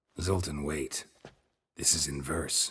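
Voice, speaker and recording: A man speaks in a put-on character voice, raspy and very deep. His tone is deadpan. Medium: video game. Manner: terse, deadpan.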